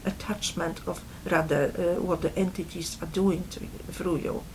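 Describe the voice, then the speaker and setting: This woman speaks at a moderate pace. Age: 60s. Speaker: spiritual video blogger. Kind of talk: personal talk to camera. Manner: halting, many fillers.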